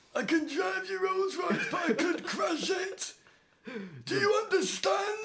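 This man puts on a character voice, pitched extremely high, and talks at a fairly slow pace. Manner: gruff, menacing.

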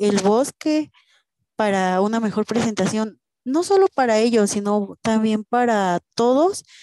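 In a dry, close sound with no echo, a woman with a fairly high pitch and a dark, mellow tone talks at a very slow pace, with very even loudness and ordinary pitch variation. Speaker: university student. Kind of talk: casual chat.

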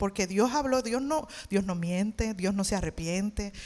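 The background is silent in this very clean recording. This woman's intonation is lively. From Puerto Rico, Levittown. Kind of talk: testimony. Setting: church stage with audience.

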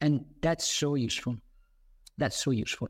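The man's voice is fairly high in pitch, with a non-native accent. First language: not English. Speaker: webinar host, author and nutrition business coach. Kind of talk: webinar presentation. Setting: online webinar. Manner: animated, with many fillers and repetitions.

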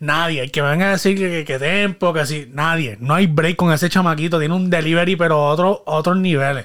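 A man with a Puerto Rican accent, high in pitch with ordinary variation, at a fairly quick pace on a very clean recording with a silent background. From Puerto Rico (Guayama). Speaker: podcast host. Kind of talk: casual chat.

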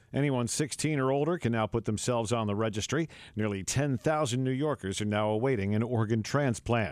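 A man's normal speaking voice at medium pitch, fairly quick with hardly any pauses, very even loudness and ordinary pitch variation. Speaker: radio news anchor. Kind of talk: news reading. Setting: studio.

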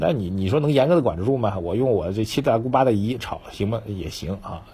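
Against noticeable background noise, a man at a medium pitch speaks very fast with lively intonation. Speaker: financial commentator. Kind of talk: casual market commentary. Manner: conversational, many filler particles.

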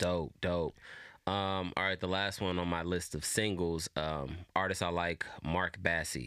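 A man's very deep, low pitch with a bright, sharp tone, fairly even intonation and very even loudness, in a very clean recording with a silent background. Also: fairly slow pace. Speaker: podcast co-host. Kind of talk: casual chat. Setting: studio. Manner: casual, relaxed.

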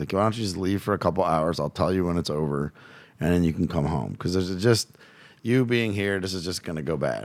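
A man's very deep, low voice, energetic in tone, at a fairly quick pace with ordinary pitch variation. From Louisiana, US South. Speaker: guest, coach and father. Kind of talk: casual interview storytelling. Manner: profane, energetic.

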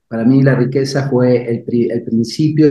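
A man's medium-pitched, somewhat breathy voice with a dark, mellow tone, at a fairly slow pace. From Argentina. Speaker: life coach and speaker. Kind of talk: interview testimony. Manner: animated.

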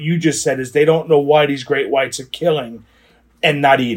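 The voice has an American accent. It sounds somewhat breathy. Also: man. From New Jersey. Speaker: podcast co-host. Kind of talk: casual chat. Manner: halting.

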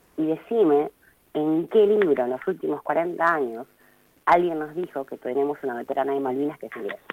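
A woman with a very deep, low pitch talks at a fairly quick pace, her loudness swinging widely while her pitch varies in an ordinary way. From Argentina, Río Gallegos (Patagonia). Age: 30s. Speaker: artist and photographer. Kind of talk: interview.

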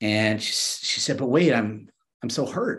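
A normal speaking voice, a man with an American accent, lively intonation and a moderate pace. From US, Miami Beach, Florida. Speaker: entrepreneur and divorced father. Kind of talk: casual interview.

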